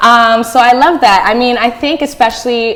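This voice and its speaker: A woman speaks at a moderate pace with an American accent. Noticeable background noise runs underneath. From northern New Jersey. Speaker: talk show host. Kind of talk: casual interview. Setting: studio. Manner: animated.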